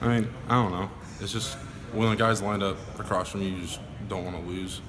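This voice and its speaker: Noticeable background noise and audible room echo surround a man with a very deep, low pitch. He talks at a fairly quick pace in a flat monotone. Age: young. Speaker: college football player. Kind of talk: media interview. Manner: quiet.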